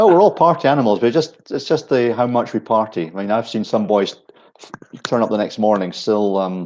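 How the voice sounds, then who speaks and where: Speaking at a fairly quick pace, a man with a Scottish accent uses a medium pitch and lively intonation. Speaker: ski equipment brand manager. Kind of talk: casual chat. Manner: halting.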